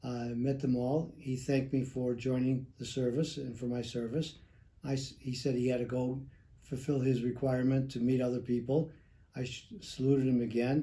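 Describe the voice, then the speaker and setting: Speaking in an American accent at a moderate pace, a man uses a medium-pitched, somewhat breathy voice with a dark, mellow tone and monotone, flat intonation. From Chicago, US Midwest. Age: 70s. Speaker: retired air force veteran, insurance agent. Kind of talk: interview. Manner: halting, with fillers.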